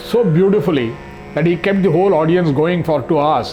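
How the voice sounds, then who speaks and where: Music in the background and audible room echo behind a man's fairly high pitch, fairly quick pace and ordinary pitch variation. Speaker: arts society administrator. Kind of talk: interview.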